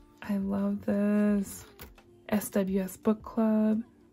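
A woman talks with faint music in the background. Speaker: budgeting and unboxing youtuber; unboxing vlogger. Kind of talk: unboxing vlog. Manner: animated. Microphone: phone near.

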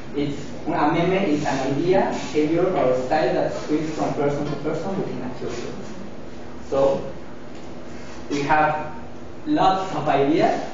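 Noticeable background noise and strong room echo fill the recording. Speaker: student. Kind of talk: class presentation. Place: classroom. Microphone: camera far.

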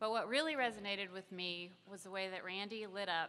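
At a moderate pace and medium pitch, a woman speaks with fairly even intonation and a bright, sharp tone. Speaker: magazine publisher. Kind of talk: speech at a press event. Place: hall. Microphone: podium.

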